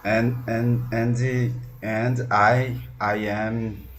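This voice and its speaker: Very slowly and in a flat monotone, a man speaks at a medium pitch, his voice somewhat breathy, with audible echo from the room. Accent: Brazilian Portuguese. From Brazil. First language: Portuguese. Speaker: language student, policeman. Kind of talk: online English lesson. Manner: halting.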